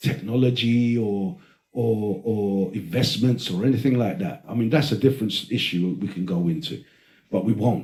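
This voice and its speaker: The intonation is lively and the tone animated, somewhat breathy. The pace is moderate. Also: man. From Britain, Greek heritage. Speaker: podcast host. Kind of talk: casual chat.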